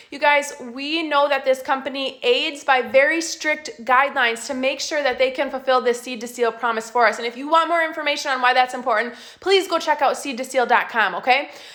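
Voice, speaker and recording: The speech moves at a fairly quick pace with hardly any pauses. Pitch varies in an ordinary way, and background noise is noticeable. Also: woman, high pitch for a woman. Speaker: essential oils class presenter. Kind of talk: live online class. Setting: Facebook live stream. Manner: fast; animated.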